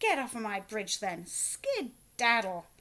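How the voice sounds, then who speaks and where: A woman does a put-on character voice, growling, raised and projected, fairly high-pitched, at a fairly slow pace. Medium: read story.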